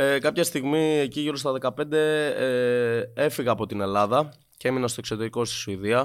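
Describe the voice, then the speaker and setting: This is a plain, everyday voice. The man speaks at a moderate pace with ordinary pitch variation. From Greece, later Sweden from age 15. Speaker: musician. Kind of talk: casual chat. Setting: studio.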